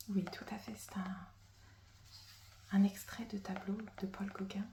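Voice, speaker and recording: Very slow, monotone speech with flat intonation, big swings in loudness and noticeable background noise. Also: woman, medium pitch for a woman. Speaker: ASMR creator. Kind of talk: ASMR roleplay as a stationery shop assistant. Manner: whispered, soft-spoken.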